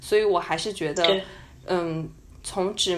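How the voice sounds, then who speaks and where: Using a normal speaking voice, a woman keeps her intonation fairly even at a moderate speed. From China. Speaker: podcast co-host, student abroad. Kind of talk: casual chat. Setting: at home, remote recording.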